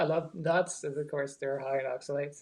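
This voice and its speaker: The intonation is monotone and flat. The speaker has an American accent. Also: man. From Baltimore, Maryland. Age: 60s. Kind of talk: interview answer. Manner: casual, hesitant.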